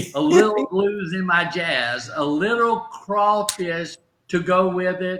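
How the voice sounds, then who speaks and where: Speaking very slowly in a Southern US accent, a man with a high pitch uses lively intonation. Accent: Southern drawl. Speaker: motivational speaker and stroke survivor. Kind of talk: casual chat. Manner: halting.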